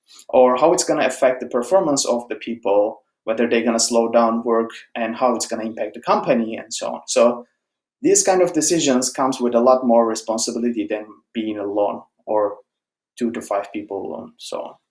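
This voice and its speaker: A man with a Turkish accent at a fairly quick pace, with ordinary pitch variation. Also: medium pitch for a man. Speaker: software engineer, conference speaker. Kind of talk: conference talk. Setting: online conference presentation. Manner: conversational, with filler words.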